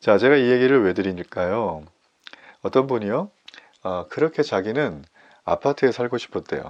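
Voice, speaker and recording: A man speaks at a medium pitch. He takes long, frequent pauses. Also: lively intonation. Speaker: pastor. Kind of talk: sermon. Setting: online morning worship service. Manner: fast.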